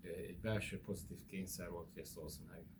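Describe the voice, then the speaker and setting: Against audible room echo, a man with a very deep, low pitch speaks in a somewhat breathy voice at a moderate pace. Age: 60s. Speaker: spiritual church leader. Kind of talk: interview. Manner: hesitant fillers.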